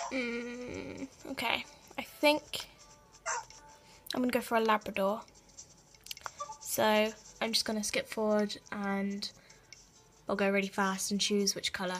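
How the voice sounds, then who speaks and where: Music in the background behind a woman's fairly high voice, with ordinary pitch variation, a fairly slow pace and long, frequent pauses. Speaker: gaming video creator. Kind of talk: casual gameplay commentary.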